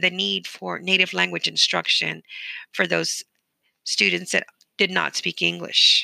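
In a Spanish accent, a woman speaks at a fairly slow pace, and the sound is dry and close with no echo. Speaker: bilingual education teacher. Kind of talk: solo educational talk.

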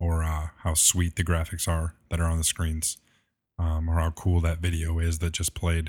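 This man's very deep, low voice is somewhat breathy and delivered in a flat monotone. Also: very clean recording, silent background. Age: 20s. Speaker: church tech and production minister. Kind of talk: interview conversation.

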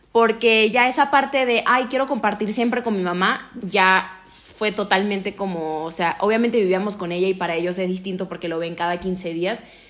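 The speech runs on with hardly any pauses over noticeable background noise. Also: woman, medium pitch for a woman, ordinary pitch variation, moderate pace. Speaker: podcast co-host. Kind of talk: casual chat.

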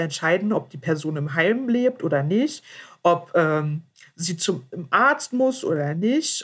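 A somewhat breathy woman's voice at a medium pitch, with lively intonation. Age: 20s. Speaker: guest with spinal muscular atrophy. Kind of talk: casual chat. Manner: hesitant, many fillers.

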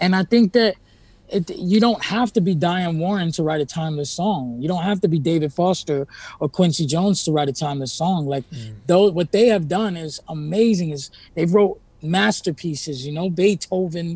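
A man speaks in a high voice with ordinary pitch variation. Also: moderate pace. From New York City (Spanish Harlem). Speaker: singer-songwriter. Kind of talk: podcast interview.

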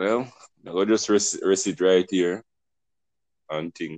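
In a Jamaican accent, a man speaks at a very deep, low pitch, recorded dry and close with no echo against a quiet background. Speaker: podcast host. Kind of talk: casual discussion.

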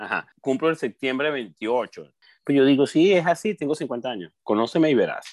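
Recorded with a dry, close sound with no echo, a man at a fairly high pitch speaks at a moderate pace with lively intonation. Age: 40s. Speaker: podcast co-host. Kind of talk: casual chat. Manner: animated.

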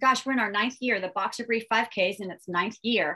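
A woman talks with an American accent. Her tone is bright and sharp. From Virginia. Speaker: nonprofit founder. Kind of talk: interview.

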